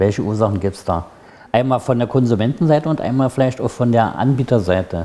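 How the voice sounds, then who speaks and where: At a moderate pace, a man speaks with a dark, mellow tone and ordinary pitch variation. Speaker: TV talk show co-host. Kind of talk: moderated panel discussion. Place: studio. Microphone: lapel.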